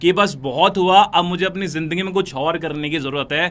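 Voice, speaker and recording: Here a man speaks with a high pitch and a bright, sharp tone. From North India, Noida. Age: 20s. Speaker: network marketing recruiter. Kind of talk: motivational sales pitch.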